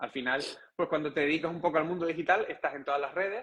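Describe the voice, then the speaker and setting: This is a man speaking. He has a Canarian accent. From Canary Islands, Gran Canaria. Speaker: breathing and meditation instructor. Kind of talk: casual interview chat.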